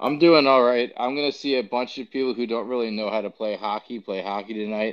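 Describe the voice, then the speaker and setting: A man's ordinary speaking voice with an American accent, medium in pitch with ordinary pitch variation, at a fairly quick pace with hardly any pauses. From New York. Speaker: podcast co-host. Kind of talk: casual chat.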